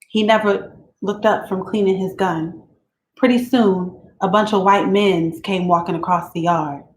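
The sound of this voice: The reading voice here is unforced, and the background stays quiet.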